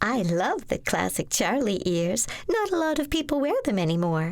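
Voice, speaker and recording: A woman puts on a character voice, fairly high in pitch, at a moderate pace. Her loudness stays very even over light background noise. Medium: read story. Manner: bubbly, chatty.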